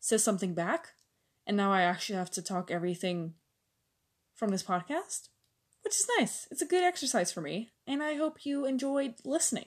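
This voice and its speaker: Her pitch swings very widely as a woman talks with a Dutch accent. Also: quiet background. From Netherlands. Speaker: au pair and podcaster. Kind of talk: casual monologue. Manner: hesitant, filler-heavy.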